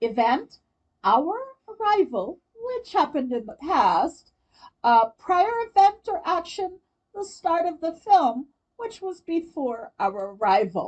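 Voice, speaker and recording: A woman with an American accent speaks at a very slow pace. Her extremely high voice makes very wide pitch swings. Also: big swings in loudness. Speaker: English teacher. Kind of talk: grammar lesson.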